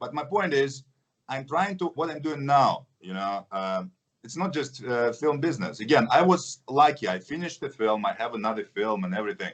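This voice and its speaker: Man with a Russian accent, medium pitch, very wide pitch swings and a moderate pace. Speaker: action film actor. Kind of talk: interview.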